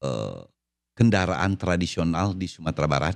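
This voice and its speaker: The recording is very clean, with a silent background. A man talks in a very deep, low pitch. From West Sumatra (Minangkabau). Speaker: podcast co-host. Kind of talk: casual chat.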